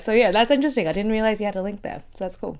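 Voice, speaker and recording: In a very clean recording with a silent background, a woman speaks at a medium pitch with an Australian accent. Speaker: podcast host. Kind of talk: casual podcast conversation.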